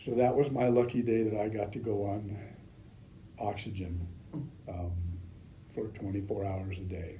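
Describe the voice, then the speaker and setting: A man with an American accent speaks at a moderate pace in a fairly low pitch, his intonation fairly even and broken by long, frequent pauses. Audible room echo and noticeable background noise fill the recording. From Northern California. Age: 70s. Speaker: patient. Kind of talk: testimony. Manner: halting, frequent ums.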